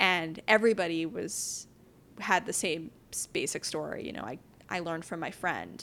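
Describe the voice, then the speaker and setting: In a very clean recording with a silent background, a woman speaks in an American accent. Her fairly low voice carries vocal fry, ordinary pitch variation and a moderate pace. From New York City, Upper West Side. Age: 20s. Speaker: entrepreneur. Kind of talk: casual interview. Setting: home kitchen.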